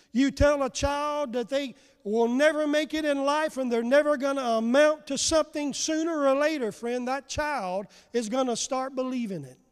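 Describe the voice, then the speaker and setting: A man with an extremely high pitch speaks in a warm tone at a moderate pace with ordinary pitch variation. The recording is very clean, with a silent background. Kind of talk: sermon. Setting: church. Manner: call-and-response preacher, rallying the congregation with 'say amen' prompts; fervent, emphatic, warm pastoral delivery building to praise.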